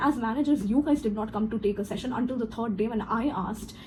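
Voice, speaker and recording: Against noticeable background noise, a woman with a fairly high pitch talks at a very fast pace, her pitch varying in an ordinary way. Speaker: corporate trainer. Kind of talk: personal story vlog. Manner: animated.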